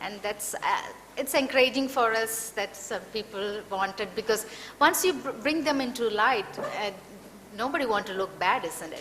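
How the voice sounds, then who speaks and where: The speaker's lively intonation and big swings in loudness come at a moderate pace over noticeable background noise. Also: woman. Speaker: compliance consultant and anti-trafficking advocate. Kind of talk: panel talk and Q&A. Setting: public talk with audience.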